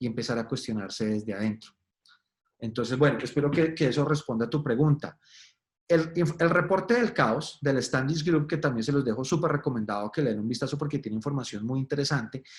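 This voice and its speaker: A fairly quick, somewhat breathy man's voice at a fairly high pitch, with ordinary pitch variation. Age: 40s. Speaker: agile expert speaker. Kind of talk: webinar presentation. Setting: online webinar. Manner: casual, animated.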